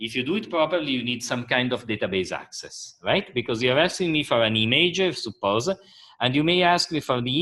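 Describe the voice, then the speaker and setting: A plain, everyday voice from a man at a medium pitch, with lively intonation and a moderate pace, in a very clean recording with a silent background. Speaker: university lecturer. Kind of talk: lecture.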